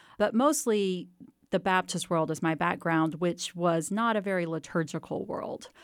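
A woman's plain, everyday voice at a medium pitch, with an American accent, ordinary pitch variation and a moderate pace. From Texas, near Waco. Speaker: history professor and author. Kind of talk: interview.

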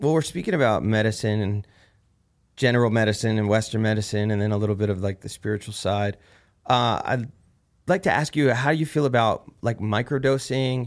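A man with a New Jersey accent speaks at a fairly quick pace, medium-pitched with ordinary pitch variation. The recording is very clean with a silent background. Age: 30s. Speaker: war veteran and podcast host. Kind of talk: casual chat.

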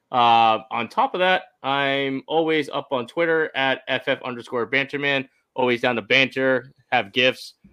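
This is a normal speaking voice with ordinary pitch variation. The background is quiet. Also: man. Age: 30s. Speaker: fantasy football writer. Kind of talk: casual chat.

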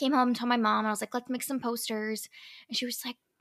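On a very clean recording with a silent background, a woman's high voice comes across bright and sharp. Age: 30s. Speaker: naval officer and podcast host. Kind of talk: casual interview chat. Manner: animated.

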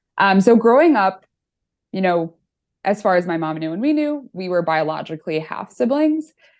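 Against a quiet background, a woman with an American accent talks at a moderate pace, her medium pitch making very wide swings. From US Midwest, Chicago northern suburbs. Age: 20s. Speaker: author and accountant. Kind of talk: casual interview chat.

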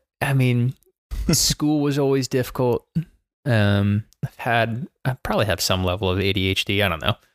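In a very clean recording with a silent background and a dry, close sound with no echo, a man with an American accent talks at a moderate pace in an ordinary speaking voice, his medium pitch showing ordinary variation. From Baltimore, Maryland, US. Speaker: soccer head coach. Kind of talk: casual chat.

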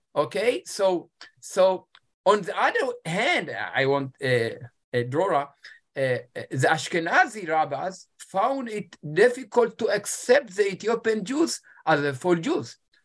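A man's fairly slow speech with very wide pitch swings. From Ethiopia. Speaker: rabbi and academic author. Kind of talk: interview. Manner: halting.

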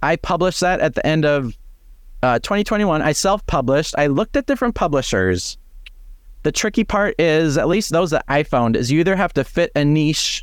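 At a moderate pace and very even loudness, a man speaks at a fairly high pitch with very wide pitch swings. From North Dakota (Fargo). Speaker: mental fitness coach and author. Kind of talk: interview.

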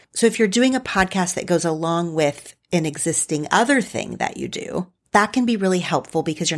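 A woman with an Oklahoma accent and a fairly low voice, lively intonation at a moderate pace, in a very clean recording with a silent background. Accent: occasional Oklahoma twang, Southern US. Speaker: podcast host. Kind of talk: solo monologue, informal talk. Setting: studio, home recording with USB mic.

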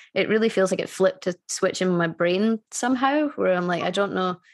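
A woman with a Scottish accent at a medium pitch and a fairly quick pace. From Scotland. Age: 30s. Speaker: musician. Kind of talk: casual chat. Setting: video call.

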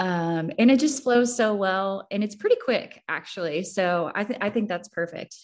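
A woman's normal speaking voice with an American accent, ordinary pitch variation and a moderate pace, against a quiet background. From Missouri. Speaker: entrepreneur. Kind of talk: casual chat.

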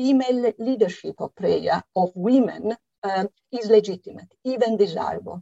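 Speaking with an Italian accent at a fairly slow pace, the voice has a dark, mellow tone and ordinary pitch variation, with a dry, close sound with no echo. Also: woman. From Italy. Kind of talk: interview. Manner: hesitant, many fillers.

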